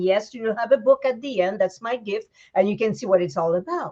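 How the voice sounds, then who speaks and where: A woman with a Quebec accent speaks at a fairly high pitch in a dark, mellow tone. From Quebec, Canada. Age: 60s. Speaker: vegan raw food chef. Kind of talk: casual interview chat. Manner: animated.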